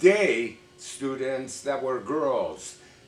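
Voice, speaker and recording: Here a man talks with a Persian accent and lively intonation at a very slow pace. Noticeable background noise is present. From Iran. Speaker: vlogger. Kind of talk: casual storytelling to camera.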